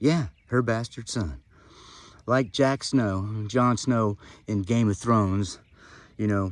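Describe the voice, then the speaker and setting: A man's unremarkable speaking voice, fairly low in pitch, with ordinary pitch variation. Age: 60s. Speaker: family member giving a toast. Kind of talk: birthday toast. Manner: casual, storytelling.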